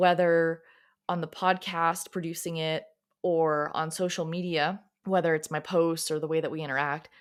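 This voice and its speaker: A woman's fairly low voice with an American accent, moderate pace and fairly even intonation, on a very clean recording with a silent background. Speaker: podcast host, self-love coach. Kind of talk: motivational podcast monologue. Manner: sometimes awkward cadence.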